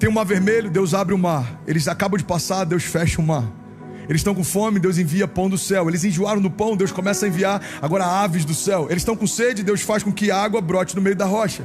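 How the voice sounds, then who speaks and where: Music plays behind a man with a high pitch and an energetic tone. He talks at a fairly quick pace with ordinary pitch variation and very even loudness. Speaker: pastor. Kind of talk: sermon / preaching. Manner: energetic, exhortative, addressing a congregation.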